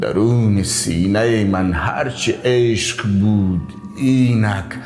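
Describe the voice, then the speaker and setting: Over music in the background, a man with a fairly low pitch speaks very slowly, with ordinary pitch variation. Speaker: poetry reciter. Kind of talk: poetry reading. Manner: expressive, emotional.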